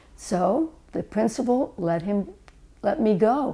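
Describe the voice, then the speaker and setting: A woman at medium pitch speaks with a dark, mellow tone, vocal fry and lively intonation. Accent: American. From Philadelphia suburbs, Pennsylvania. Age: 80s+. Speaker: family member telling life story. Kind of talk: oral history reminiscence. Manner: reflective, conversational with hesitations.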